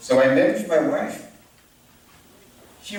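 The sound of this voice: A man speaks at a fairly slow pace in a slightly mellow tone. Strong room echo surrounds his voice.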